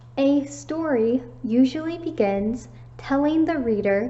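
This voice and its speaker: A woman talks at a very slow pace, with audible room echo and noticeable background noise around her. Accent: American. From United States. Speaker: English teacher. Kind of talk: online lesson for students. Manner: slow, clear.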